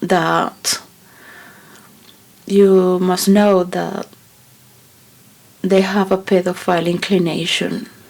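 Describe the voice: A woman's very slow delivery with long, frequent pauses, fairly low pitch, fairly even intonation, vocal fry and a slightly mellow tone.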